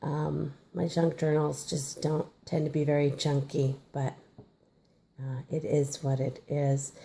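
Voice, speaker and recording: Her very deep, low voice is somewhat breathy and dark and mellow, and the woman keeps a flat, monotone intonation. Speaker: crafter showing her art journal. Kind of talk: casual video walkthrough. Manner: hesitant, many fillers.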